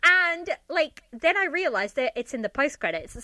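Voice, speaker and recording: A woman's bright, sharp voice is raised and projected. She speaks at a moderate pace with very wide pitch swings. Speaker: podcaster, drama reviewer. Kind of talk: casual chat. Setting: remote recording.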